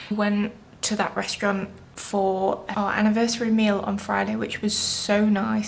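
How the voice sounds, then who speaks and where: A woman speaks with a British accent at a moderate pace. Her pitch is medium. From England. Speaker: vlogger and food habit coach. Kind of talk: casual vlog talk.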